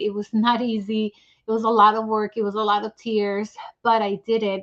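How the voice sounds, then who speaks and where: Against a quiet background, a woman speaks at a moderate pace in a fairly high pitch with monotone, flat intonation. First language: not English. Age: 40s. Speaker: author. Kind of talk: testimony.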